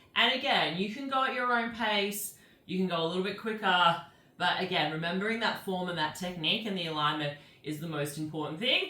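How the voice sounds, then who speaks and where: At a fairly quick pace and medium pitch, a woman speaks with lively intonation amid noticeable background noise and audible room echo. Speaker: pilates instructor. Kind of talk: guided fitness class.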